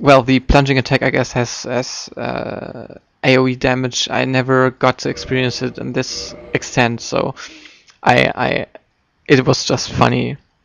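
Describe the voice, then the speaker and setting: A man with a German accent, at a fairly slow pace. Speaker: video game commentator. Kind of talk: post-recorded gameplay commentary. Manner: halting, many fillers and repetitions.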